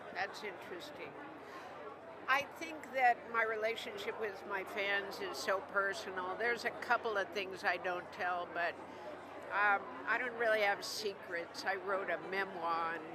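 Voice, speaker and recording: Fairly slow delivery with ordinary pitch variation, audible room echo and noticeable background noise. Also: woman, medium pitch for a woman. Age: 60s. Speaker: singer-songwriter. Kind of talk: red carpet interview. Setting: red carpet at awards show.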